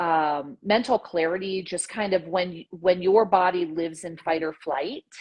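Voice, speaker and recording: This woman has an unremarkable speaking voice, fairly low in pitch, moving at a fairly slow pace with ordinary pitch variation and hardly any pauses. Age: 40s. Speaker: nurse practitioner. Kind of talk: casual interview chat.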